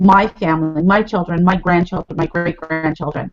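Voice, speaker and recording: Music plays in the background. A woman talks with an American accent. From California. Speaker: network marketing leader. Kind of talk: interview.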